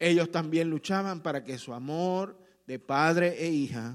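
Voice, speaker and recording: The recording is very clean, with a silent background. The voice has a warm tone, ordinary pitch variation and a very slow pace. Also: man. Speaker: pastor. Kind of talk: sermon. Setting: church. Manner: warm, earnest preaching pace, direct appeals to the congregation.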